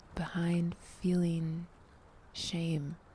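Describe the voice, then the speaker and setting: The voice is soft-spoken with a gentle tone. It moves at a very slow pace. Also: woman. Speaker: tarot reader and ASMR vlogger. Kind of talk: ASMR tarot reading, soft-spoken personal reflection to camera. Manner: soft-spoken, gentle.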